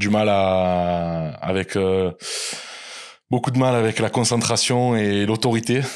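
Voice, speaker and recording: A man with a southern French accent speaks at a very slow pace. He uses long, frequent pauses and keeps his loudness very even. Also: ordinary pitch variation. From southern France, small village. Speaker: salaried employee and Amazon seller. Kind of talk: interview. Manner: hesitant, many fillers.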